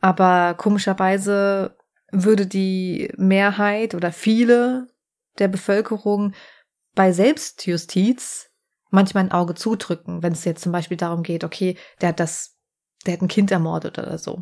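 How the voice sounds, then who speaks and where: A woman's normal speaking voice at a fairly slow pace, on a very clean recording with a silent background. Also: medium pitch for a woman, fairly even intonation. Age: 40s. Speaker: podcast host and crime author. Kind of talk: casual chat.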